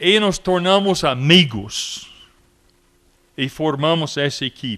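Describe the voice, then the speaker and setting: Speaking very slowly, a man with a fairly high voice uses lively intonation. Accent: English. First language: English (speaking Portuguese). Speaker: missionary. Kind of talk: commemorative speech. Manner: halting.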